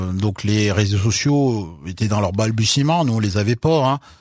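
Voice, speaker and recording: A plain, everyday voice from a man, fairly low in pitch with ordinary pitch variation, at a fairly slow pace, in a dry, close sound with no echo and a very clean recording with a silent background. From France, Loire (Saint-Étienne area). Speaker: author. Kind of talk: interview.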